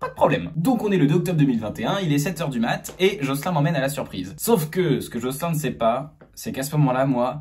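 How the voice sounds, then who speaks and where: A man talks very fast in a fairly high, somewhat breathy voice. His tone is animated. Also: lively intonation, big swings in loudness. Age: 20s. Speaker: comedian. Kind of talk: storytelling to camera; casual chat.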